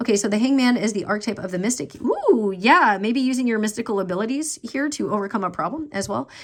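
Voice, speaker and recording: Over noticeable background noise, a woman talks at a very fast pace with hardly any pauses, a fairly high pitch and lively intonation. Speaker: tarot reader. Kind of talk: tarot reading. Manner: casual, filler-heavy.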